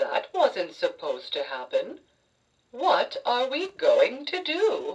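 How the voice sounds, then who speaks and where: This is a put-on character voice at an extremely high pitch. The delivery is very slow. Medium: read story.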